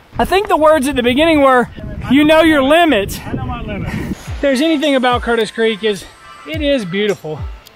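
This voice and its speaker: A man at a moderate pace, dry sound with no echo, faint music in the background. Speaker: mountain biker vlogger. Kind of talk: casual vlog chat. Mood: joking despite struggle. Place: forest. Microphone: phone near.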